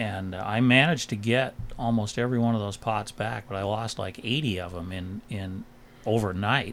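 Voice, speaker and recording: Someone with an American accent speaks at a moderate pace with ordinary pitch variation. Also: man, fairly low pitch for a man. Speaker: commercial fisherman. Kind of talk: interview.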